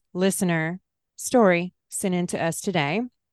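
Fairly even intonation from a woman with a Southern US accent, dry and close with no echo, over a quiet background. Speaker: podcast co-host. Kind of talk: casual chat.

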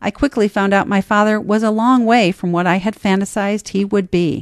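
A woman's medium-pitched, a normal speaking voice with an American accent, fairly quick in pace, over a quiet background. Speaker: essayist and podcast host. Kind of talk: reading aloud personal essay. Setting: studio.

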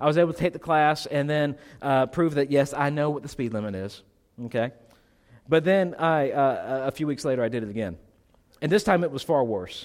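A man's fairly high-pitched, unremarkable speaking voice at a fairly quick pace, with ordinary pitch variation. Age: 30s. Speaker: pastor. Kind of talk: sermon. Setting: church.

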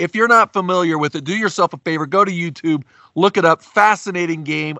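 In an American accent, a man talks with an unremarkable speaking voice and ordinary pitch variation. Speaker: podcast host. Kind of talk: casual sports podcast interview.

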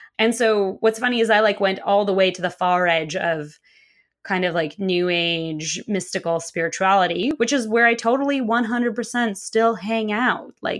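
In a normal speaking voice, a woman talks at a moderate pace and medium pitch with ordinary pitch variation, on a very clean recording with a silent background. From Russia, Moscow; moved to US at nine. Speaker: queer spiritual activist and author. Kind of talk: casual interview chat.

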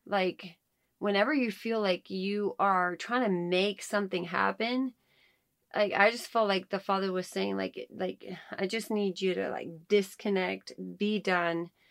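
A woman speaks at a fairly slow pace and medium pitch with fairly even intonation, in a normal speaking voice. The recording is very clean, with a silent background. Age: 30s. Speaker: podcast co-host, homeschooling mother. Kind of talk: casual chat, faith testimony.

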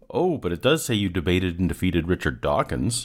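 A man speaks at a very deep, low pitch with vocal fry. The recording is very clean, with a silent background. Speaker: YouTube commentator debunking creationist claims. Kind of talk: scripted video commentary, critical.

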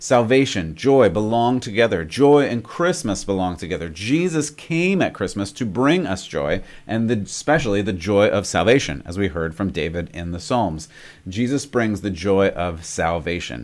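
Loud and animated, a man with a fairly low pitch makes very wide pitch swings at a moderate pace on a very clean recording with a silent background. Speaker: preacher and podcast host. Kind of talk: sermon. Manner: loud, animated laugh.

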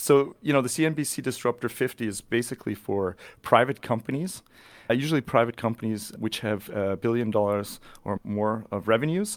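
A man with an unremarkable speaking voice talks at a fairly quick pace and a medium pitch. The recording is very clean with a silent background. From Canada, British Columbia (near Vancouver). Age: 40s. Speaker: tech company channel manager. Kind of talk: podcast interview.

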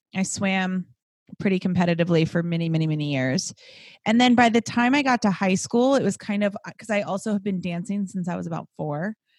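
A woman with a Californian accent talks at a fairly quick pace. Her voice is somewhat breathy and animated. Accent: Californian American. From Southern California, Los Angeles. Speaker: fitness instructor. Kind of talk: casual chat.

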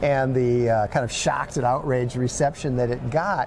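Through noticeable background noise, a man with an Upper Midwest accent speaks at a medium pitch and a moderate pace. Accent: Upper Midwest American. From Minnesota. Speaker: podcast host. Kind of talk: interview. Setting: conference venue.

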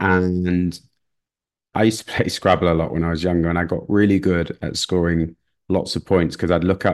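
A man with a Mancunian accent speaks in a very deep, low pitch. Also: quiet background. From northern England, Manchester area. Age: 40s. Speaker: real estate investor. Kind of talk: interview.

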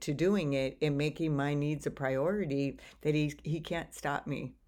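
A woman's very deep, low voice at a moderate pace, in a very clean recording with a silent background. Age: 60s. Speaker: life coach and podcast host. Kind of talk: solo podcast monologue.

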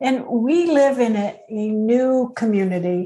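A woman uses an unremarkable speaking voice, fairly high in pitch with ordinary variation. The background is quiet. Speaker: podcast co-host.

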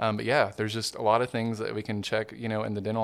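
A man talks with a Southern US accent. His pitch is fairly low and his pace is very fast. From Arkansas, Hot Springs. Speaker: dentist. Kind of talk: casual interview. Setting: studio.

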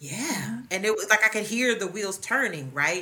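Noticeable background noise sits behind a woman talking at a moderate pace. Her pitch swings very widely. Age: 40s. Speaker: psychologist. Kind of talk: casual chat.

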